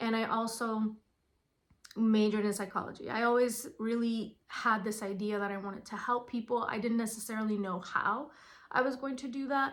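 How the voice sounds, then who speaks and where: A woman's fairly high voice at a moderate pace, with fairly even intonation, in a very clean recording with a silent background. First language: Spanish. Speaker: school psychologist. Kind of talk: informational talk. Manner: casual, with fillers.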